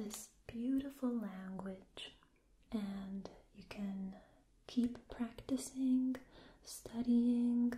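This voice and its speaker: Soft-spoken and gentle in tone, a woman talks very slowly with long, frequent pauses and fairly even intonation over light background noise. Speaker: language teacher. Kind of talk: tutorial. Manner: soft-spoken, gentle ASMR voice. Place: home room. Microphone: phone near.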